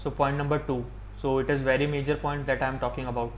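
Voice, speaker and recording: Audible room echo surrounds a man speaking with an Indian accent. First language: Hindi. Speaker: YouTuber. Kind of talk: opinion monologue.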